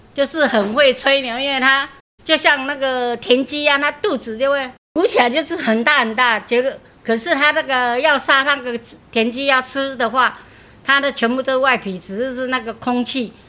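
A woman projects a raised voice with a bright, sharp tone and high pitch. She keeps a moderate pace and ordinary pitch variation. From Taipei, Taiwan. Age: 60s. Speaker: grandmother sharing proverbs. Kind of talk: casual interview chat.

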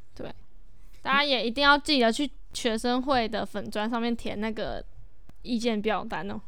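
A woman's bright, sharp tone at a moderate pace, with long, frequent pauses and audible room echo. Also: fairly high pitch for a woman, ordinary pitch variation. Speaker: student podcast host. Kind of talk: casual chat.

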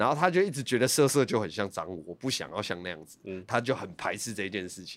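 A man with a fairly low pitch rushes along at a very fast pace with hardly any pauses, his intonation lively and his loudness swinging widely. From Taiwan, Hsinchu. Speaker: rapper. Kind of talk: casual interview chat.

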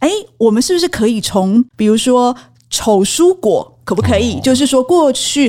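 A woman with a high-pitched voice and a dark, mellow tone speaks at a moderate pace, her intonation lively and her loudness very even. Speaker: magazine editor and podcast co-host. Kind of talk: casual business discussion.

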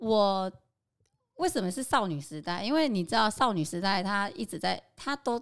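Recorded very cleanly against a silent background, a woman talks with an unremarkable speaking voice. Her pitch is medium, her pace moderate and her intonation lively. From Taiwan, Qingshui (Taichung). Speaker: home cook and local food experience designer. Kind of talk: casual interview.

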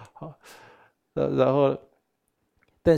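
A man speaks at a fairly slow pace with a Taiwanese accent. His tone is dark and mellow. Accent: Taiwanese Mandarin. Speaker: Buddhist teacher. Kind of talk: dharma lecture. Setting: live teaching session with in-person and online audience. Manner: animated.

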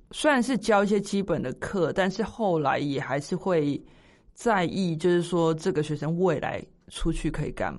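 A woman speaks in a plain, everyday voice with a fairly low pitch, a moderate pace and ordinary pitch variation. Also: quiet background. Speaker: podcast co-host. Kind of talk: casual chat.

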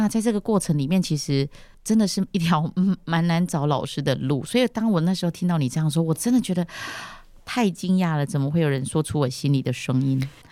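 In a very clean recording with a silent background, a woman talks at a very fast pace in a dark, mellow, fairly low voice, her intonation lively and her loudness very even. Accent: Taiwanese Mandarin. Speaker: podcast host, founder of English school. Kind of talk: casual interview chat.

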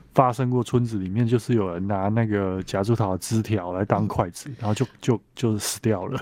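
Against a quiet background, a man with a dark, mellow tone and fairly low pitch speaks at a moderate pace. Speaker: botanical writer. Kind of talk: interview.

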